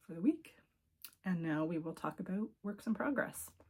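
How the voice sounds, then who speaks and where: A woman with a Cape Breton accent, somewhat breathy and medium in pitch. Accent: Cape Breton Canadian English. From Cape Breton, Nova Scotia, Canada. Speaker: knitting video podcaster. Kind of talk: casual show-and-tell chat. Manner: casual with frequent fillers.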